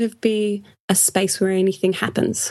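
In an Australian accent, a woman talks at a moderate pace. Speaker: podcast co-host, museum blogger. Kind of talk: casual chat.

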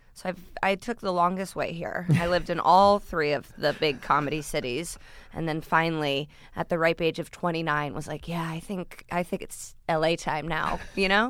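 A woman with a normal speaking voice, fairly low in pitch, with an American accent, ordinary pitch variation and a moderate pace. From US Midwest. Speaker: comedian. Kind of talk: casual chat. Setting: studio.

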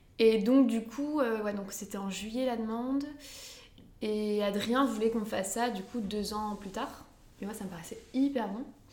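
Over noticeable background noise and audible room echo, a woman with a fairly high pitch speaks at a fairly slow pace, her intonation fairly even and her loudness swinging widely. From northern France, Lille area. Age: 20s. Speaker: midwife. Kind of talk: casual interview chat.

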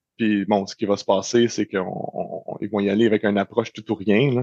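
A man speaks with a Quebec accent in a fairly low pitch. His intonation is monotone and flat. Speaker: cybersecurity expert. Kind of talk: interview. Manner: halting.

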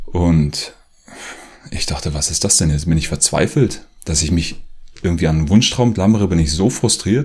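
A man with a very deep, low pitch sounds somewhat breathy, with lively intonation. He keeps a moderate pace but leaves long, frequent pauses. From Germany, rural area. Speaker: author and former activist video maker. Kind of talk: personal monologue to camera.

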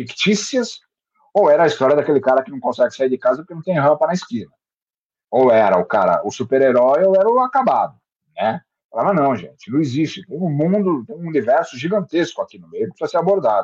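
Speaking at a very fast pace, a man uses a fairly high pitch with very wide pitch swings. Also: big swings in loudness, dry, close sound with no echo. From Brazil, Santos (São Paulo coast). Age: 50s. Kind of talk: interview.

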